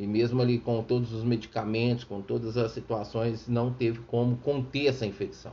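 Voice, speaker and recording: This man has a medium pitch and a somewhat breathy voice. He talks at a moderate pace. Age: 50s. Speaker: radio preacher. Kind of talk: sermon with personal testimony. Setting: radio studio.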